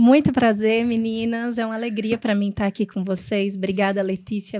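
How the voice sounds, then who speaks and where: With a northeastern Brazilian accent, a woman talks at a moderate pace and a fairly high pitch with ordinary pitch variation, in a very clean recording over a silent background. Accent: noticeable Northeastern Brazilian. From Rio Grande do Norte, Brazil (Northeast). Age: 40s. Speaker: psychologist, HR professional. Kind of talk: podcast interview.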